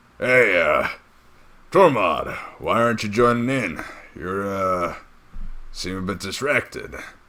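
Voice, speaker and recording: Raspy and at a medium pitch, a man's put-on character voice moves at a fairly slow pace. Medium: actual play.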